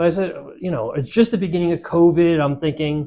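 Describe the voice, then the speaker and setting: A man's high-pitched voice, dark and mellow in tone, moves at a fairly quick pace with ordinary pitch variation. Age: 60s. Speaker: insurance company CEO. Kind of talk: interview conversation.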